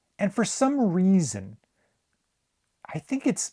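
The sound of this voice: A man's slow, high voice with a dark, mellow tone and very wide pitch swings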